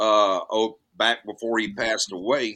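Speaking at a fairly slow pace, a man has a Southern US accent. His tone is bright and sharp. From US South, north Alabama. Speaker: actor. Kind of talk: casual chat.

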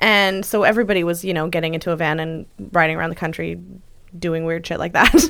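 Fairly low-pitched, a woman talks at a very fast pace with fairly even intonation. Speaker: podcast host. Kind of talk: casual chat. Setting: studio.

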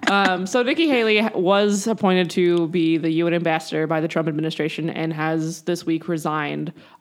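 With noticeable background noise behind her, a woman with an American accent talks at a moderate pace in a fairly low pitch, using ordinary pitch variation and hardly any pauses. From South Carolina. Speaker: podcast co-host for an abortion-rights group. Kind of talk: casual chat.

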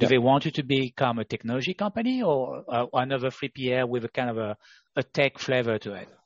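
This man talks at a very fast pace. His voice sits at a medium pitch with ordinary pitch variation. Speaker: podcast host. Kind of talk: interview.

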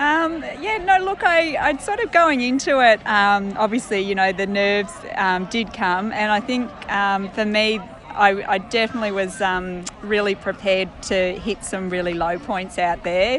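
A woman with an Australian accent at medium pitch, lively in intonation and moderate in pace, over noticeable background noise. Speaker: ultramarathon runner. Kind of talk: interview. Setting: outdoors.

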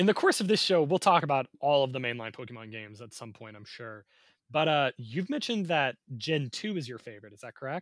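A man's fairly high voice at a very fast pace, lively intonation and big swings in loudness, with a dry, close sound and no echo. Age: 20s. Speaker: podcast co-host. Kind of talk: casual chat. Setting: remote recording.

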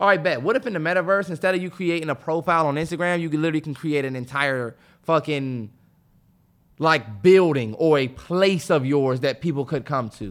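With a normal speaking voice, the speaker uses lively intonation. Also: man, fairly high pitch for a man. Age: 20s. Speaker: podcast co-host. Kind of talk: casual chat.

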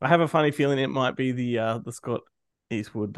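A man with a normal speaking voice talks at a fairly quick pace, his medium pitch showing ordinary variation. The sound is dry and close with no echo. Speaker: podcast co-host. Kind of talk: casual chat.

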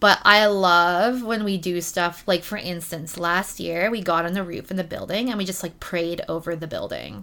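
A woman with a Canadian accent uses a normal speaking voice, fairly low in pitch, at a moderate pace. Her intonation is fairly even, and the recording is very clean with a silent background. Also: hardly any pauses. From Ontario, Canada. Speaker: community support coordinator. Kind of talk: casual chat. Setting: in person.

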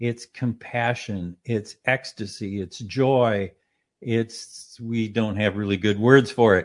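A man's medium-pitched voice with an American accent, very slow and fairly even in intonation, over a quiet background. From US Midwest, southern Minnesota. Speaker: consciousness institute president and meditation author. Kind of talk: interview. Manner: voice breaks with emotion telling story.

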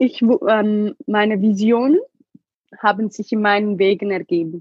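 A woman is speaking. Her pitch is fairly high and her intonation fairly even. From Ethiopia. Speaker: survivor sharing her life story. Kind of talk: emotional testimony in an interview.

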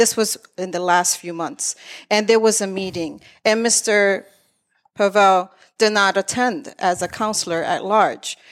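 In an unremarkable speaking voice, a woman with an American accent speaks at a fairly slow pace and medium pitch, her intonation fairly even, on a very clean recording with a silent background. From Lawrence, Massachusetts. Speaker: activist running for state senate. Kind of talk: political debate. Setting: studio with live audience.

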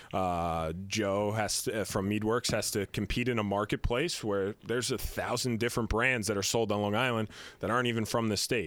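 A plain, everyday voice from a man, fairly low in pitch, at a moderate pace with hardly any pauses, fairly even intonation and very even loudness, in a very clean recording with a silent background. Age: 30s. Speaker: business founder. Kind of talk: casual chat.

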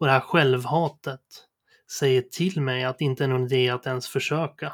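At a moderate pace, a man with a fairly high pitch talks in a plain, everyday voice. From Sweden, Sundsvall area (Medelpad). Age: 30s. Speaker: podcast host. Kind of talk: personal monologue, scripted narration.

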